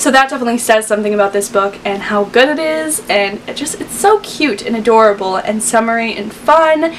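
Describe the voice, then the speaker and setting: The voice has an upbeat tone and lively intonation at a fairly quick pace. There are hardly any pauses, and background noise is noticeable. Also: woman, fairly high pitch for a woman. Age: young. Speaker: book reviewer. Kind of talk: casual talk to camera.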